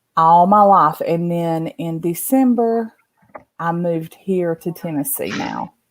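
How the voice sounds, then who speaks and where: A woman with a strong Southern accent speaks very slowly in a fairly low voice, her intonation lively. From Appalachia, western North Carolina (born eastern Kentucky). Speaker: live stream guest. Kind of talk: casual chat.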